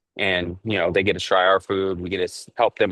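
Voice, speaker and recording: This man has a very deep, low pitch and speaks at a fairly quick pace. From Southern California. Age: 40s. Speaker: chef. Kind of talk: casual interview. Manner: casual, filler-heavy.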